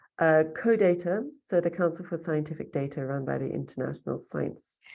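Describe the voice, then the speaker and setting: Fairly low in pitch, this woman's dark, mellow voice moves at a moderate pace with ordinary pitch variation. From South Africa. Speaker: workshop trainer, data expert. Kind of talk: online training workshop Q&A. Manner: hesitant, many fillers.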